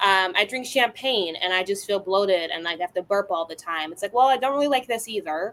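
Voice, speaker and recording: An ordinary speaking voice with an American accent moves along with hardly any pauses and lively intonation. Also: woman, medium pitch for a woman, fairly quick pace. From Chicago, South Side. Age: 20s. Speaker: tequila brand founder. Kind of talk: interview.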